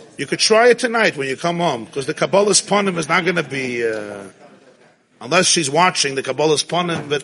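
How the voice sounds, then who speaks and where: Over noticeable background noise, a man with an American accent talks at a very fast pace. His fairly high voice has lively intonation. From Brooklyn, New York (Crown Heights). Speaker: rabbi lecturer. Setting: synagogue with live audience. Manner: impassioned, rising exhortation peppered with Hebrew and Yiddish; animated, warm and conversational with laughter.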